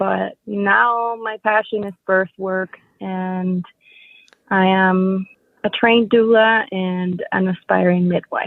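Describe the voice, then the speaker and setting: At a very slow pace, a woman speaks with fairly even intonation and a medium pitch. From Dominican Republic. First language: Spanish. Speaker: doula. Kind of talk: interview. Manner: careful, deliberate in English.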